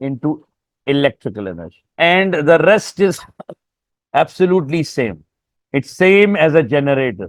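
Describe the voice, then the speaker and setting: This man's voice is fairly high in pitch. He keeps a moderate pace with ordinary pitch variation. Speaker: physics teacher. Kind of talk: lecture. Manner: halting.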